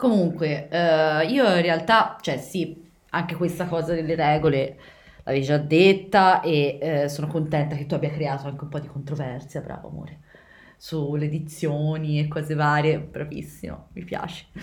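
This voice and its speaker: Amid audible room echo, a woman with a very deep, low voice speaks at a moderate pace with fairly even intonation and big swings in loudness. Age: 20s. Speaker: podcast host. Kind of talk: casual chat.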